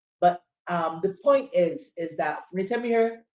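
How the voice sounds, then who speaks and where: This voice, with a Barbadian accent, keeps a moderate pace. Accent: Barbadian (Bajan). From Barbados. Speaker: podcast host. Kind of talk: casual chat. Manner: animated.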